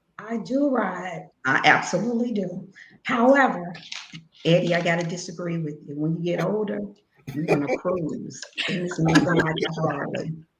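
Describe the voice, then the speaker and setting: With an American accent, a woman speaks at a moderate pace in a fairly low pitch, using lively intonation and big swings in loudness. There is audible room echo. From Chicago, Illinois. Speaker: fraternal organization leader. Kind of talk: interview.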